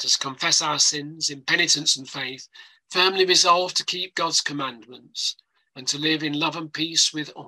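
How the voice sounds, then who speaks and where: Against a quiet background, a man speaks at a moderate pace. His tone is bright and sharp, his intonation fairly even. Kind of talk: liturgical reading. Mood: solemn, measured. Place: home room.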